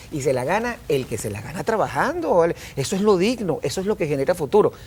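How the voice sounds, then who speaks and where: A man's high-pitched, animated voice at a very fast pace, with very wide pitch swings. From Venezuela. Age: 50s. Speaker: business communication consultant. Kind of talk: TV interview.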